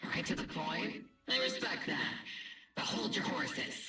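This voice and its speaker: A man does a raspy, put-on character voice at an extremely high pitch and a moderate pace, with slight echo. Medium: video game. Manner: brisk, commanding.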